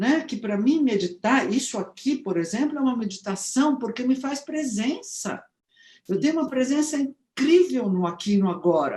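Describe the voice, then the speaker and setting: Dark, mellow tone at a moderate pace, with very wide pitch swings. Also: woman, high pitch for a woman. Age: 70s. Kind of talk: casual chat.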